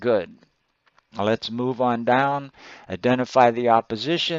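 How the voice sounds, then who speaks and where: This man has an unremarkable speaking voice of medium pitch, speaking at a fairly slow pace with ordinary pitch variation. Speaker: college writing instructor. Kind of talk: screencast feedback tutorial.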